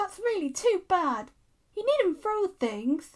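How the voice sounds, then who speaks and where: Squeaky and extremely high-pitched, a woman's put-on character voice swings very widely in pitch at a fairly slow pace. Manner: indignant.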